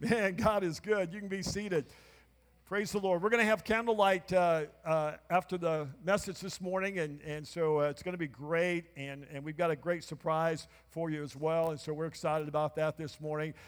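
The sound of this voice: A man talks at a moderate pace in a fairly high pitch, with fairly even intonation.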